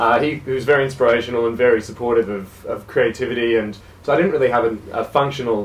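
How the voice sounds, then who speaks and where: This man talks very fast with an Australian accent. His pitch is medium. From Australia, South Gippsland, Victoria. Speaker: jazz musician. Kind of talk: radio interview.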